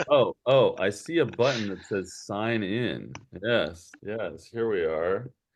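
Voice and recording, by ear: The clip is reading aloud in a natural voice.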